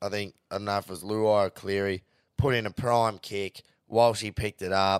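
On a very clean recording with a silent background and a dry, close sound with no echo, a man with a Queensland accent speaks at a moderate pace in an animated tone. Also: fairly low pitch for a man. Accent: Australian, Queensland. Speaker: podcast host, rugby league and punting. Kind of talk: casual banter, sports recap. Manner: excitable, animated, swears a lot.

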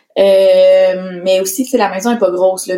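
At a fairly quick pace, a woman talks at a medium pitch. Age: 20s. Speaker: entrepreneur. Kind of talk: casual chat.

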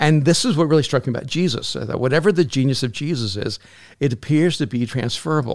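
On a very clean recording with a silent background, a man speaks at a very fast pace, fairly high in pitch with ordinary pitch variation. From El Salvador, raised in US. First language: Spanish. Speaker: pastor and author. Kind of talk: casual chat.

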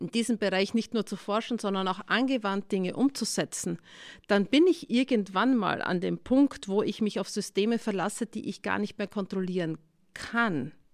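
Speaking at a moderate pace with ordinary pitch variation, a woman has a plain, everyday voice at a fairly high pitch, on a very clean recording with a silent background. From Austria, Styria. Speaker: tech CEO and professor. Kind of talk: interview.

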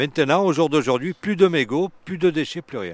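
A man talks at a moderate pace. The recording is very clean, with a silent background and a dry, close sound with no echo. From Marseille, France. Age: 60s. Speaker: urban gardener. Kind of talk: casual chat. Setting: outdoors.

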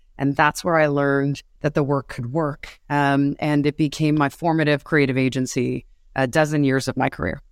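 Monotone, flat delivery in a New York accent, at a moderate pace with hardly any pauses. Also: woman, very deep, low pitch for a woman. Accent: New York American. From New York City. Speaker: advertising executive at a social media platform. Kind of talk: interview conversation.

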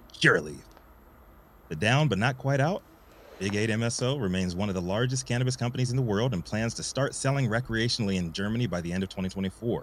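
Using a plain, everyday voice, a man talks at a fairly quick pace with ordinary pitch variation. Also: medium pitch for a man. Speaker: cannabis news show co-host. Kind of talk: live news talk show.

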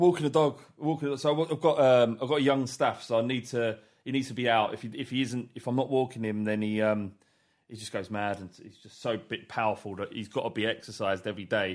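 A man at a very fast pace and medium pitch, ordinary pitch variation, big swings in loudness, and a very clean recording with a silent background. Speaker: podcast host. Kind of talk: casual chat. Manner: hesitant, stammering.

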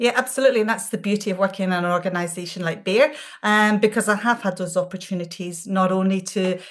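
A Glasgow accent at a very fast pace, fairly even in intonation, in a very clean recording with a silent background. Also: woman. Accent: Scottish, Glasgow. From Scotland, Glasgow. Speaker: pharmaceutical executive. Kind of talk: interview.

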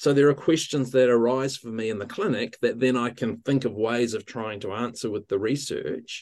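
With a New Zealand accent, a man speaks at a moderate pace. His pitch is medium. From New Zealand, central North Island. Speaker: physiotherapist and associate professor. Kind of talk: interview. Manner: hesitant, frequent fillers.

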